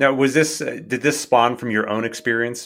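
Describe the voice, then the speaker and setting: At a fairly quick pace, a man with a normal speaking voice uses ordinary pitch variation. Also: very clean recording, silent background. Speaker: podcast host. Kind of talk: interview.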